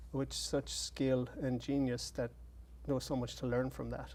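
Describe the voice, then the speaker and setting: A man with an Irish accent at a moderate pace. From Ireland. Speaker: playwright. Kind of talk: interview. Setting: studio.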